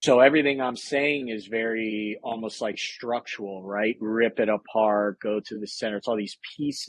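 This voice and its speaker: Heard in a dry, close sound with no echo, a man uses a normal speaking voice at a fairly low pitch and moderate pace with fairly even intonation. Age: 30s. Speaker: military veteran and author. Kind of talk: casual chat.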